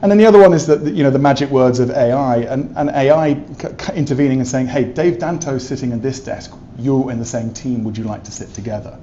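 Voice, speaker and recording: Over noticeable background noise, a man with an English accent talks very fast at a medium pitch, with ordinary pitch variation, big swings in loudness and hardly any pauses. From England. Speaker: tech company specialist. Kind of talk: interview. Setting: trade event in an office.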